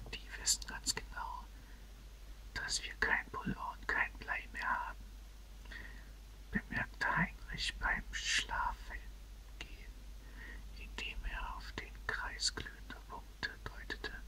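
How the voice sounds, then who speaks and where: Against noticeable background noise, a woman whispers at a very slow pace with long, frequent pauses. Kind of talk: audiobook reading. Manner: whispered.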